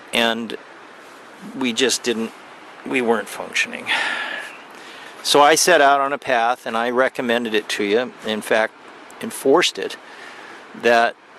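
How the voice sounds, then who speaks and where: A man at medium pitch speaks at a moderate pace with ordinary pitch variation and long, frequent pauses. Noticeable background noise runs underneath. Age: 60s. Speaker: vlogger. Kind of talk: personal video message. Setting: outdoors. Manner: halting.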